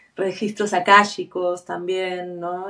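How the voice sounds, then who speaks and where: The woman speaks at a fairly slow pace. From Argentina. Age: 40s. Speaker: tattoo artist. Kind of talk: interview conversation.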